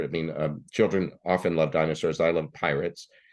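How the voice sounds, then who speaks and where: A man with a very deep, low pitch speaks at a moderate pace in a monotone, flat delivery against a quiet background. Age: 60s. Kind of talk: interview. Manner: halting.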